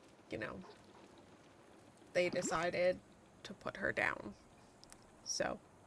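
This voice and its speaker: A soft-spoken woman talks at a very slow pace. Long, frequent pauses break up her speech. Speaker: gaming streamer. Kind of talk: casual chat. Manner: halting.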